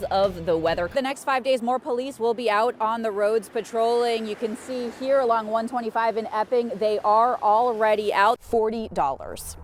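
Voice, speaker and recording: There is noticeable background noise behind this woman. She speaks at a moderate pace with a fairly high pitch. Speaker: TV news reporter. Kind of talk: TV news field report.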